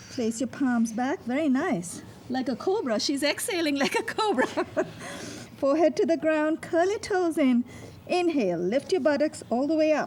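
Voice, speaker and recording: There is noticeable background noise as a woman talks at a moderate pace. Her pitch is high and swings very widely. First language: not English. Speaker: yoga instructor. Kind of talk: guided yoga instruction. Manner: calm, instructive.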